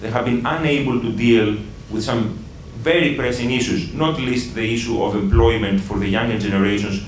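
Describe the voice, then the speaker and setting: A man with a Greek accent at a fairly quick pace, amid audible room echo and noticeable background noise. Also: medium pitch for a man, ordinary pitch variation. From Greece. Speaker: pro-EU campaign leader. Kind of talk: panel debate. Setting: breakfast meeting with audience.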